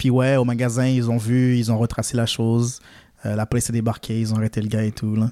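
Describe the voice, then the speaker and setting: In a dark, mellow tone, a man talks at a fairly quick pace with monotone, flat intonation, medium pitch and a dry, close sound with no echo. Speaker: podcast co-host. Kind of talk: casual chat.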